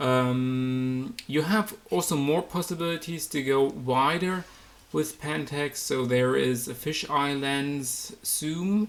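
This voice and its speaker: This voice has a German accent. The pace is very slow. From Germany. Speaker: photography YouTuber. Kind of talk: product review. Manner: halting, many fillers.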